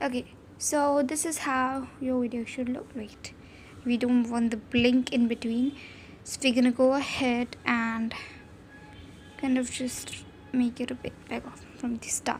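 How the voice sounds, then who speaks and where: Noticeable background noise sits behind a woman's high voice. She speaks fairly slowly in a monotone, flat intonation, with long, frequent pauses. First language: not English. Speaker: video editing tutorial creator. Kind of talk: tutorial. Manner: casual, hesitant with fillers.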